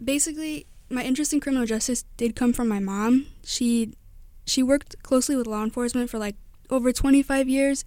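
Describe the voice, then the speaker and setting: In a Midwestern American accent, a woman with a high pitch and a dark, mellow tone speaks with long, frequent pauses. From northwest Indiana. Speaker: college student. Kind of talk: radio interview. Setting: studio.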